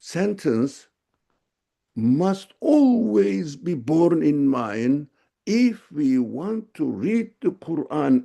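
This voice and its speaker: A man's fairly high-pitched voice, dark and mellow in tone, with very wide pitch swings and a very slow pace. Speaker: religious teacher. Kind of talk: lecture.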